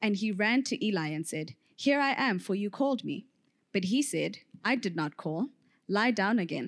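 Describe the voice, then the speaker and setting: A woman with an unremarkable speaking voice talks at a moderate pace in a medium pitch, her intonation lively, on a very clean recording with a silent background. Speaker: scripture reader. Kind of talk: reading aloud.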